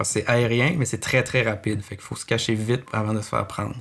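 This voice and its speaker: A man speaks at a medium pitch in a flat monotone, at a fairly quick pace. The recording is very clean, with a silent background. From Quebec City. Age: 30s. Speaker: ornithologist, park patroller. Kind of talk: interview. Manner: halting, with filler words.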